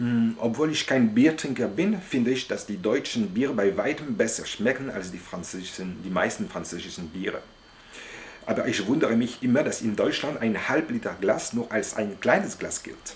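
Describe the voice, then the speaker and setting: Here a man speaks at a fairly slow pace and a medium pitch. His intonation is lively. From France. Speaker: language learner, polyglot. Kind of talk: monologue to camera about language learning. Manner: halting, with hesitations.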